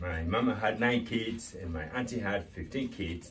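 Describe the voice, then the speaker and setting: The pitch swings very widely. Noticeable background noise can be heard. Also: man. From Sierra Leone. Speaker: storyteller. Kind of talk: casual talk to camera.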